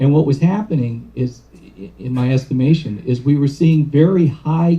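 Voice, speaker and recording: His voice sits fairly high for a man, somewhat breathy, with a dark, mellow tone. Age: 60s. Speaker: addiction treatment professional. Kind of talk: lecture. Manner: halting.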